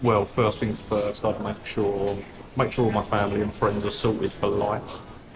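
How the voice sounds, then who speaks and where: Music plays behind a man speaking at a moderate pace. His pitch is fairly low. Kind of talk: street interview answer.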